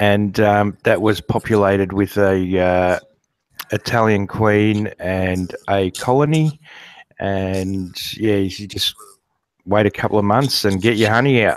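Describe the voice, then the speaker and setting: At a fairly slow pace, a man speaks in a fairly low pitch with an Australian accent. His intonation is fairly even, and the sound is dry and close with no echo. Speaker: guest beekeeper. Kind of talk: casual interview. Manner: halting; soft-spoken. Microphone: too quiet.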